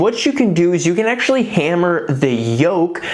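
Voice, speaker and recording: A woman speaks at a fairly low pitch with lively intonation and a fairly slow pace. Audible room echo and noticeable background noise surround her. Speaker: DIY car maintenance youtuber. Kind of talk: tutorial.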